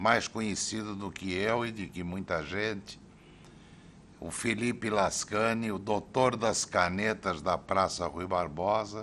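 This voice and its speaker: A man's fairly low-pitched voice has a bright, sharp tone. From Brazil, Santos (São Paulo state). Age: 60s. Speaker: city councillor and teacher. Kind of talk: oral history interview.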